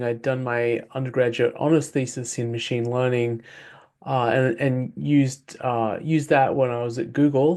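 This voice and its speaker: Over a quiet background, a man with an Australian accent speaks at a medium pitch with fairly even intonation. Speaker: author and former software engineer. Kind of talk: interview. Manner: hesitant with fillers.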